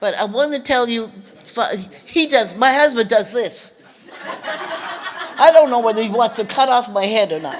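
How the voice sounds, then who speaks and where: A woman with a fairly high pitch talks at a moderate pace, using lively intonation and long, frequent pauses. Noticeable background noise can be heard. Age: 80s+. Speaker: civil rights author and speaker. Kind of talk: public talk. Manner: halting.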